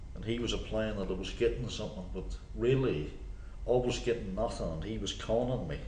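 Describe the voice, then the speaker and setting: The speaker goes at a fairly quick pace. Audible room echo surrounds the voice. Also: man. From Northern Ireland. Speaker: recovering alcoholic. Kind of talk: testimony.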